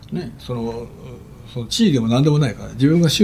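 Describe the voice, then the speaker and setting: A man's somewhat breathy, dark, mellow voice at a fairly quick pace with lively intonation. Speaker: pediatric heart surgeon. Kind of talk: interview.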